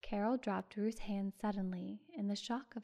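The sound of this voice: An unforced reading voice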